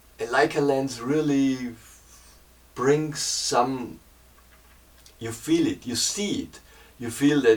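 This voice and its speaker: Speaking at a very slow pace in a German accent, a man with a fairly high pitch shows ordinary pitch variation, big swings in loudness and long, frequent pauses. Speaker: painter and hobby photographer. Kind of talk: camera review talk. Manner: halting, many fillers and repeats.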